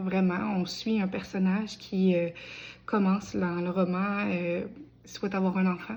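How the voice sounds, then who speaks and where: A woman's somewhat breathy, medium-pitched voice, monotone and flat, at a fairly slow pace. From Quebec, Bellechasse. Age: 20s. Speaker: aspiring novelist. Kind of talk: crowdfunding appeal video. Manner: casual with many hesitations.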